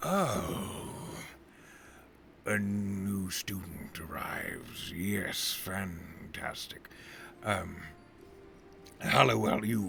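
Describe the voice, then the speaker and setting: A man's raspy, put-on character voice at a very slow pace, over clear background noise. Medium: actual play. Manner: grandiose, verbose.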